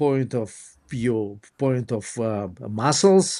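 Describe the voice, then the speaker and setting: With a non-native accent, a man talks in lively intonation on a very clean recording with a silent background. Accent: foreign. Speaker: dentist. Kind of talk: interview. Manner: halting.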